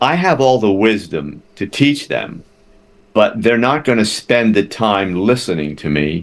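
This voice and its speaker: With an American accent, a man talks in a fairly low voice at a fairly slow pace. His pitch swings very widely. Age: 60s. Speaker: therapist. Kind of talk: interview. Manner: repetitive stammering starts.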